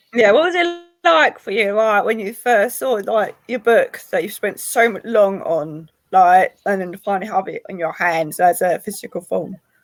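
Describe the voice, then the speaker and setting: This woman's medium-pitched voice carries a British accent. Her pitch swings very widely and her loudness shifts a great deal. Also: moderate pace. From Britain. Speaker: podcast host and publisher. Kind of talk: interview.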